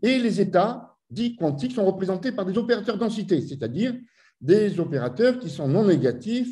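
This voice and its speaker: Against a quiet background, a man with a dark, mellow tone speaks fairly slowly, his pitch swinging very widely. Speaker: physics professor. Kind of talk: lecture. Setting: video call. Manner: halting. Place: home room. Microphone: webcam.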